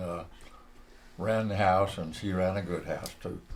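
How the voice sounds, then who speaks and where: A man with a Southern US accent and a very deep, low pitch at a moderate pace, with audible room echo. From US South, northeast Georgia. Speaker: retired textile executive and Marine veteran. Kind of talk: oral history interview.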